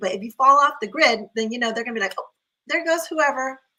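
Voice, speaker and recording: In a raised, projected voice, a woman with a high pitch talks at a very fast pace with lively intonation and an animated tone. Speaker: optometrist, guest speaker. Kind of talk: online panel talk. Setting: live video stream. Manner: fast when passionate.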